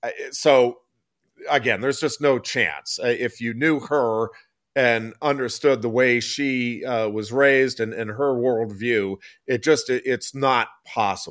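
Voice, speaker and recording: In an American accent, a man speaks fairly slowly in an ordinary speaking voice at medium pitch, with ordinary pitch variation on a very clean recording with a silent background. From State College area, Pennsylvania. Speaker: sports talk co-host. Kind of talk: casual sports talk.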